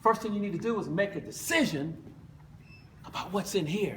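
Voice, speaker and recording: Animated and lively in intonation, this voice carries an American accent at a moderate pace. Background noise is noticeable. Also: man. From United States. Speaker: motivational speaker, former basketball player. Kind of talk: motivational speech.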